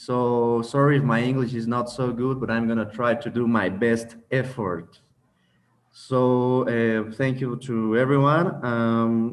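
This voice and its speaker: A man talks at a fairly slow pace with a Mexican accent. His voice is medium-pitched, with fairly even intonation. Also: quiet background. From Mexico. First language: Spanish. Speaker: spiritual lecturer. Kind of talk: online lecture. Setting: video call.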